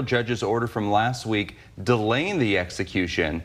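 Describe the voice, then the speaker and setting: Lively intonation runs through a man's unremarkable speaking voice as he talks at a moderate pace. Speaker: news anchor. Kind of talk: news reading. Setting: studio. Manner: formal.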